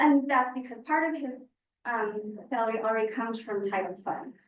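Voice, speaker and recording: A woman with a plain, everyday voice, a fairly high pitch, and a moderate pace. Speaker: school board member. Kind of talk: board meeting discussion.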